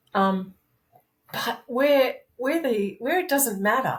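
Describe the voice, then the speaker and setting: A somewhat breathy woman with an Australian accent at a moderate pace. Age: 60s. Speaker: masters powerlifter. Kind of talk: casual interview chat. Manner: animated.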